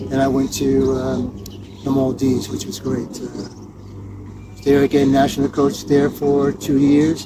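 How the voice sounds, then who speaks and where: A man with a New Jersey accent speaks at a fairly slow pace in a medium pitch, his intonation fairly even, with noticeable background noise. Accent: American, New Jersey. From US Northeast (New Jersey). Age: 70s. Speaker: tennis coach. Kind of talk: interview.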